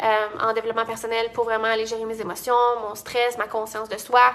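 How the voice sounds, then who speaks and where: Speaking fairly quickly in a Quebec accent, a woman with a fairly high pitch and a bright, sharp tone keeps her intonation flat and monotone. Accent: Québécois French. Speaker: entrepreneur and business coach. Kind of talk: casual vlog talk. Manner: fast; many fillers and restarts.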